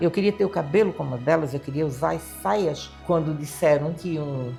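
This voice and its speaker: A woman with a Florianópolis accent speaks in a very deep, low pitch, at a moderate pace with lively intonation. Music plays in the background. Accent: Florianópolis manezinho. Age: 70s. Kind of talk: interview answer.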